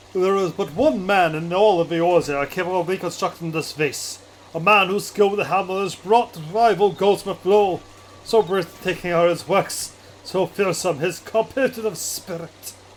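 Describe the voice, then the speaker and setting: Putting on a character voice, a man uses a pompous, theatrical tone at a high, strained pitch with ordinary pitch variation and a moderate pace. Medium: game stream. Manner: archaic, pompous, theatrical.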